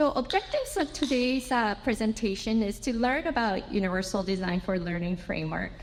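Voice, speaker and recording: A woman with a Japanese accent talks at a fairly quick pace with lively intonation and hardly any pauses, over noticeable background noise. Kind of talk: conference presentation. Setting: symposium with audience. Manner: halting, with fillers.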